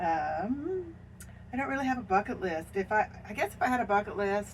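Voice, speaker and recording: A woman talks at a fairly quick pace with an American accent and lively intonation at medium pitch. Noticeable background noise is present. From Washington State. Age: 70s. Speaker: RV traveler. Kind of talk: casual chat.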